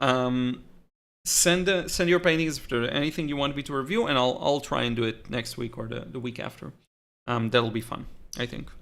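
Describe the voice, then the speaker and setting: A man with a slight Israeli accent speaks at a fairly quick pace in a bright, sharp tone with lively intonation, on a very clean recording with a silent background. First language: Hebrew. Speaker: watercolor artist and teacher. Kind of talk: live stream chat. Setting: live stream. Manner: halting.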